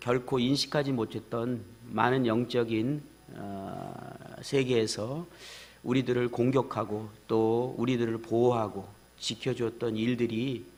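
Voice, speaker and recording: A man speaks very slowly at a medium pitch. His intonation is monotone and flat. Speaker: pastor. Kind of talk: sermon. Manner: many hesitations.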